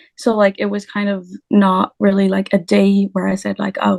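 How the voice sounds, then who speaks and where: A woman with a French accent speaks at a fairly slow pace in a medium pitch, her voice dry and close with no echo. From France. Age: 20s. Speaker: language teacher. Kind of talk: interview. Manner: halting.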